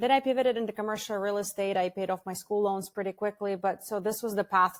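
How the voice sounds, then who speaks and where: In a very clean recording with a silent background and a dry, close sound with no echo, a woman with a slight Russian accent speaks at a fairly quick pace, her medium pitch carrying fairly even intonation. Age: 40s. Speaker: franchise founder. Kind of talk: podcast interview.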